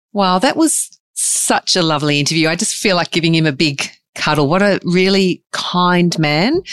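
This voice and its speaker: A woman's fairly low voice at a moderate pace, with ordinary pitch variation, very even loudness and a dry, close sound free of echo. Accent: Australian. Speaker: podcast co-host. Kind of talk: interview.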